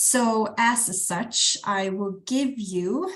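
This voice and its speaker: A woman speaks in a somewhat breathy voice. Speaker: project manager, conference speaker. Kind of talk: presentation. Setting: video call. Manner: hesitant, many fillers.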